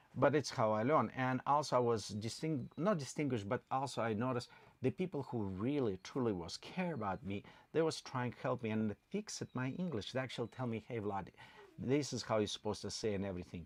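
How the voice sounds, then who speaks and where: A man's fairly quick, lively speech in a very clean recording with a silent background and a dry, close sound with no echo. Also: medium pitch for a man. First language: not English. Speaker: channel co-host. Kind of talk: livestream chat.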